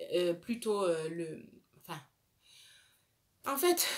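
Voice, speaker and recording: Speaking very slowly, a woman talks with a West African accent. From Burkina Faso, Bobo-Dioulasso. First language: Dioula (speaking French). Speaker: beauty vlogger. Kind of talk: casual chat. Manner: hesitant.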